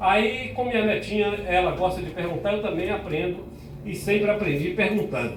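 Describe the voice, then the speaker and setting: With audible room echo and noticeable background noise, a man talks at a moderate pace in an animated tone. His pitch is high, with ordinary variation. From Bahia, Brazil. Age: 60s. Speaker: pastor. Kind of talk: talk to school students.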